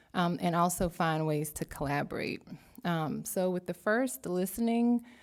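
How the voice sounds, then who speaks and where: A woman talks with an American accent. Her pitch sits fairly low and varies in an ordinary way. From US South. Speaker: academic researcher. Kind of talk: panel talk. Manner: slow.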